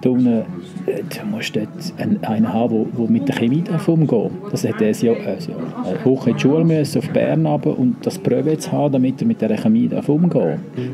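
With a Swiss accent, a man speaks at a fairly quick pace and medium pitch against noticeable background noise. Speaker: hotel director. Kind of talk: interview answer.

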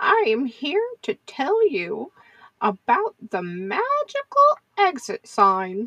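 A woman's high voice with very wide pitch swings, a very slow pace, long and frequent pauses, and a dry, close sound with no echo. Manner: sweet, gently teasing.

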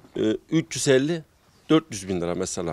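A man's voice is captured with a dry sound and no echo. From Gaziantep, Turkey; Turkey. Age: 30s. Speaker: small livestock farmer. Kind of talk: interview; interview answer. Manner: halting with many fillers. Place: farm machine. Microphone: handheld.

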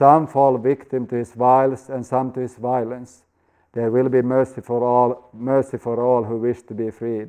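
In a natural reading voice, the text is read against a quiet background.

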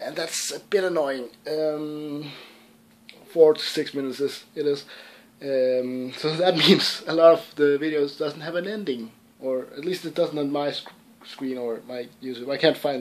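Fairly slow and fairly even in intonation, a man with a Danish accent speaks at a fairly high pitch. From Denmark, Southern Jutland (Sønderborg); Denmark. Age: young. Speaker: gaming YouTuber. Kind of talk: casual Q&A vlog. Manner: hesitant, many fillers. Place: home room. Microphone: webcam.

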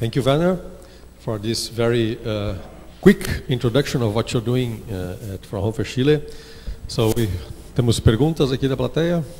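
Amid noticeable background noise, a man talks at a moderate pace with lively intonation and long, frequent pauses. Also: medium pitch for a man. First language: Portuguese. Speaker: university professor, event moderator. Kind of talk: moderated Q&A. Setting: lecture hall with audience, livestreamed.

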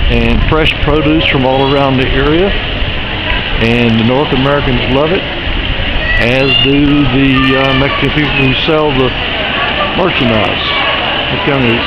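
Over loud background noise, a man speaks at a moderate pace with long, frequent pauses, the sound dry and free of echo. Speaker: guide. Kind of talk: casual walking tour commentary. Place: market. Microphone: phone near.

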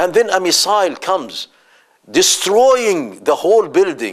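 Against a quiet background, a man talks with lively intonation at a fairly slow pace. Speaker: religious teacher. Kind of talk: lecture. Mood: earnest, impassioned. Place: studio. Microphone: lapel.

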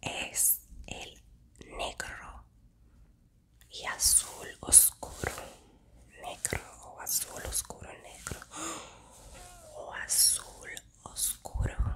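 A woman whispers very slowly, leaving long, frequent pauses, her loudness swinging widely. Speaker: ASMR creator. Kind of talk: ASMR whisper-style talk to camera. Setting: close-mic ASMR recording. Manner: soft, intimate, whispered. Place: home room.

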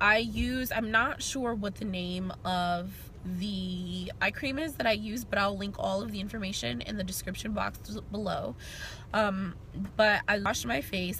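A woman speaks at a moderate pace. The sound is dry with no echo, and there is light background noise. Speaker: beauty vlogger. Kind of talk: casual vlog chat. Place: car. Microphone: phone near.

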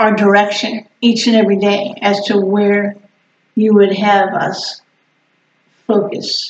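The room echo is audible. A woman talks at a very slow pace. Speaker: pastor leading prayer. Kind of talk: prayer. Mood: earnest, calm. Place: church.

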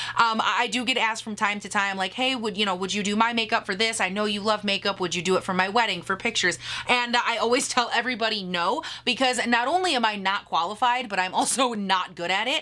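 A woman's very fast, animated delivery, fairly high in pitch, with ordinary pitch variation. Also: hardly any pauses. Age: 30s. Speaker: beauty YouTuber. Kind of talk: casual Q&A vlog. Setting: home video recording. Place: home room.

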